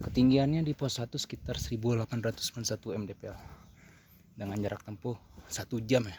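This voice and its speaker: A man speaks at a fairly quick pace in a medium pitch. His voice is somewhat breathy, with ordinary pitch variation. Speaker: hiking vlogger. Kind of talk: vlog narration while hiking. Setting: outdoors on mountain trail.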